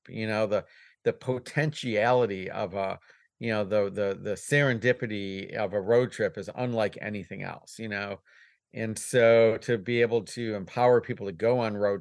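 In a plain, everyday voice, a man talks with a fairly low pitch and fairly even intonation over a quiet background. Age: 50s. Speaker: business owner, van repair shop. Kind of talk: casual chat.

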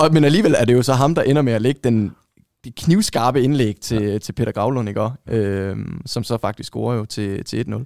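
A normal speaking voice at a moderate pace, ordinary pitch variation, and a dry, close sound with no echo. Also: man, medium pitch for a man. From Denmark, Vejle. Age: 30s. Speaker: football shirt collector. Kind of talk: casual chat.

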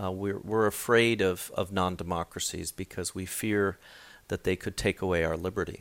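In a very clean recording with a silent background and a dry, close sound with no echo, a man with an American accent speaks at a moderate pace in a very deep, low pitch and a monotone, flat intonation. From raised in Hong Kong, Washington DC, Tokyo and Beijing. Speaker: professor of Chinese politics. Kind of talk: interview. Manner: hesitant, many fillers.

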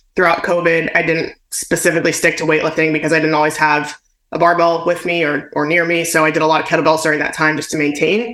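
A woman talks at a very fast pace in a very deep, low pitch. Her intonation stays monotone and flat. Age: 30s. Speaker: weightlifter and kettlebell trainer. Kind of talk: interview.

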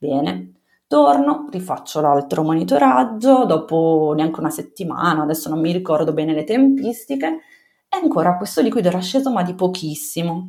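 A woman's fairly low-pitched, a plain, everyday voice, with lively intonation at a moderate pace. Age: 30s. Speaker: mother telling her birth story. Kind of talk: personal testimony in interview.

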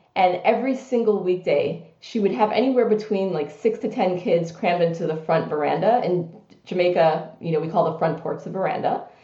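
A woman with an American accent talks at a fairly quick pace, with ordinary pitch variation and hardly any pauses. There is audible room echo and noticeable background noise. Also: medium pitch for a woman. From US, New York City (Brooklyn). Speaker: business executive. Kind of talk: interview.

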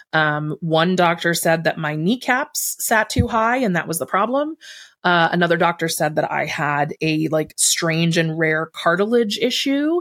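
In an American accent, a woman with an ordinary speaking voice talks at a fairly slow pace, her fairly low pitch carrying lively intonation on a very clean recording with a silent background. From Buffalo, New York, US. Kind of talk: interview.

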